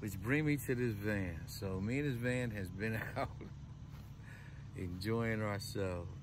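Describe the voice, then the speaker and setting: A man speaks at a fairly slow pace with ordinary pitch variation. The sound is dry with no echo, though noticeable background noise comes through. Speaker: van life vlogger. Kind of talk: casual vlog chat. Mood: cheerful, grateful. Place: car. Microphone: phone near.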